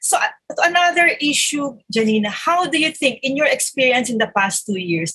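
A woman's high, raised, projected voice has a bright, sharp tone and very wide pitch swings. She keeps a moderate pace with hardly any pauses. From Philippines. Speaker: podcast host and journalist. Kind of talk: interview.

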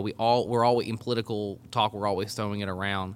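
A man talks at a very fast pace with a medium pitch, a bright, sharp tone and fairly even intonation. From Arkansas. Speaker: collegiate ministry leader. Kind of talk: casual discussion of scripture. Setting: on location at a college campus.

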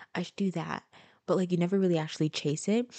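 Her voice has a dark, mellow tone, fairly low in pitch, with ordinary pitch variation and an American accent. The sound is dry and close, with no echo. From Florida, US (Haitian family). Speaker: podcast host. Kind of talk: casual monologue. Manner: talkative. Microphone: new microphone.

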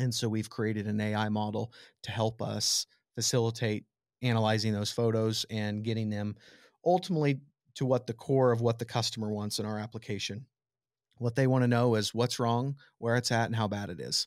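A man speaks in a Midwestern American accent at a fairly quick pace. His pitch is medium, and the recording is very clean with a silent background. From southwest Nebraska. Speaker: tech startup founder. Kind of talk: interview.

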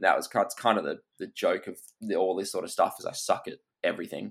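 With an Australian accent, a man talks at a fairly quick pace and a fairly low pitch. The recording is very clean, with a silent background. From Perth, Western Australia. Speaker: hunter and content creator. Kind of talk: casual chat.

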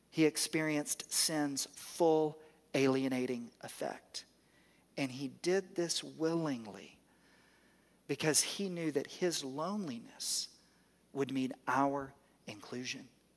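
With a Southern US accent, a man speaks very slowly at a fairly high pitch, using ordinary pitch variation and long, frequent pauses. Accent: Southern American. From US South. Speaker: pastor. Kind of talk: sermon.

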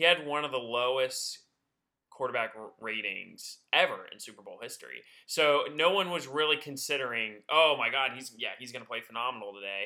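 With an American accent, a man talks fairly quickly in an ordinary speaking voice of medium pitch, showing ordinary pitch variation and big swings in loudness. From Georgia, US South (north of Atlanta). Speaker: sports podcast co-host. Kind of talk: casual chat.

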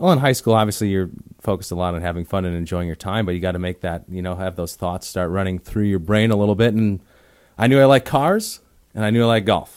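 On a very clean recording with a silent background, a man talks at a very fast pace in a fairly low voice. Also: ordinary pitch variation. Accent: American. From Wisconsin. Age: young. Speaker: golf teaching professional and podcast host. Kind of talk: casual chat. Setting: studio.

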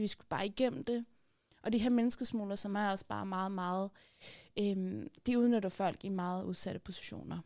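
A woman's dark, mellow tone at a moderate pace, fairly even in intonation, on a very clean recording with a silent background. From Afghanistan, raised in Denmark. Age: 30s. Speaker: activist and columnist. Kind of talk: casual interview. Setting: studio.

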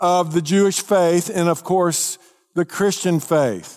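Speaking with a Texas accent, a man uses a high pitch. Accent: Southern US (Texas). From Texas, North Dallas area. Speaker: pastor. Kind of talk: sermon.

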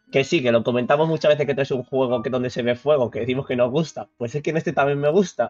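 Music plays behind a man whose voice is fairly high, with ordinary pitch variation. He speaks very fast, with hardly any pauses. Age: 30s. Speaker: podcast co-host. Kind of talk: casual chat.

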